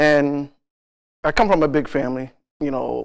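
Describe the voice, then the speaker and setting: A man with a plain, everyday voice, fairly high in pitch, at a fairly slow pace with fairly even intonation. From Stamford, Connecticut (born Augusta, Georgia). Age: 60s. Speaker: community basketball coach and Marine veteran. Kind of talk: casual interview. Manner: frequent fillers, conversational.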